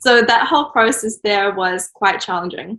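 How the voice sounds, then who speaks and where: At a moderate pace, a woman with a New Zealand accent speaks in a fairly high pitch with a bright, sharp tone. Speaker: children's book author and illustrator. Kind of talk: interview answer. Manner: casual, hesitant.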